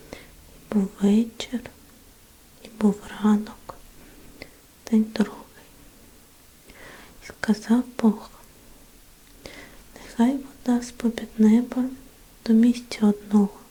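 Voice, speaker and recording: Her pitch is fairly high, and this woman speaks in a monotone, flat intonation. She goes very slowly, with long, frequent pauses. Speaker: ASMR Bible reader. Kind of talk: ASMR Bible reading, sleep relaxation. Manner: whispered, gentle.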